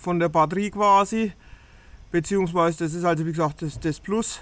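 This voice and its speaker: A man speaks at a high pitch. The sound is dry, with no echo. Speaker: vlogger. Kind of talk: casual vlog chat. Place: farm machine. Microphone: phone near.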